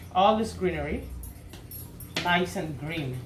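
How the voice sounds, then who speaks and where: A woman's voice swings very widely in pitch amid audible room echo and noticeable background noise. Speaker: cooking video host. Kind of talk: cooking tutorial. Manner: animated.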